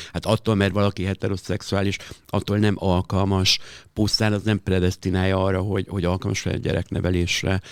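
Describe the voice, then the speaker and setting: A man speaks at a fairly quick pace with a very deep, low pitch and monotone, flat intonation. The recording is very clean with a silent background and a dry, close sound with no echo. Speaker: drag performer and club host. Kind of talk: interview.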